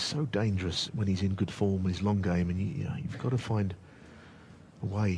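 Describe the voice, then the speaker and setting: A man with a fairly low voice talks at a very fast pace, somewhat breathy, with ordinary pitch variation. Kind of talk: live sports commentary. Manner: measured, conversational expert analysis.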